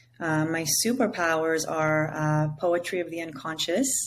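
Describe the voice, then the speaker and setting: Her intonation fairly even, a woman with a very deep, low pitch speaks at a fairly slow pace. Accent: Israeli. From Israel. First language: Hebrew. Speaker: psychedelic integration coach. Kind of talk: interview. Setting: remote call.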